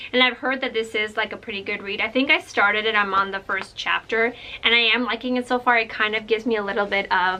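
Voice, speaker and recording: Against noticeable background noise, a woman speaks very fast in an animated tone at a fairly high pitch. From Ukraine. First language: Russian. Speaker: book vlogger and librarian. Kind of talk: casual vlog book haul.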